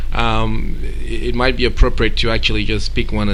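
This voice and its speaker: Moderate-paced male speech with noticeable background noise and audible echo in the room. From Cameroon. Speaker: event organizer and entrepreneur. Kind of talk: radio interview. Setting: radio studio. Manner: hesitant, many fillers and repetitions.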